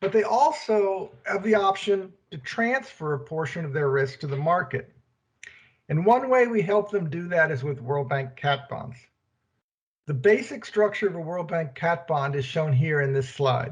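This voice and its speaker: This man's voice is loud and high-pitched. He talks at a moderate pace with lively intonation. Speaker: keynote speaker, development bank treasurer. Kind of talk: prerecorded keynote presentation. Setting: prerecorded video. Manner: trying to speak loudly.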